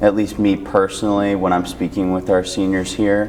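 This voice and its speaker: A man with an American accent speaks in a fairly low pitch. Noticeable background noise can be heard. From Parma, Ohio. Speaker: senior center interviewer. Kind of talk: interview.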